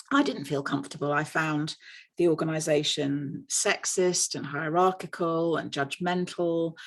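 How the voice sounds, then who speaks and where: In an English accent, a woman speaks with a very deep, low pitch. Her intonation is fairly even, over a quiet background. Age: 60s. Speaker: nurse. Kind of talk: conference panel talk.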